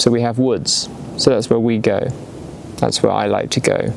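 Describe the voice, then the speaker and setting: A man talks in an English accent. Noticeable background noise runs under his voice. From England. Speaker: video essayist. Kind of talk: casual philosophical ramble. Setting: outdoors in the woods.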